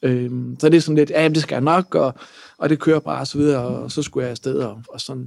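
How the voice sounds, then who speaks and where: This is an ordinary speaking voice, a man at a fairly high pitch with fairly even intonation. He moves at a fairly quick pace, and the sound is dry and close with no echo. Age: 30s. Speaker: lawyer and entrepreneur. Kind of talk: personal testimony.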